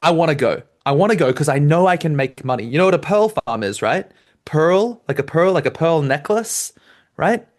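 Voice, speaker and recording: Over a quiet background, a man speaks with an Australian accent. His pitch is fairly high and his pace moderate. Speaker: debate coach. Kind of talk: lecture. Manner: animated.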